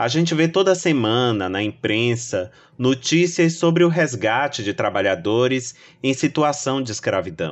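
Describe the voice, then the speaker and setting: A man's medium-pitched voice swings very widely in pitch as he talks at a fairly slow pace. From Brazil, Salvador, Bahia. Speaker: novelist. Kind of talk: first-person narration.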